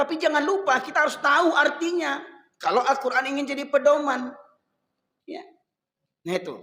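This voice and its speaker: A man speaks in a raised, projected voice at an extremely high pitch, with a bright, sharp tone and ordinary pitch variation. The pace is fairly quick, with long, frequent pauses, big swings in loudness and audible room echo. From Medan, North Sumatra, Indonesia. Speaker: Islamic preacher. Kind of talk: sermon. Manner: conversational, addressing audience.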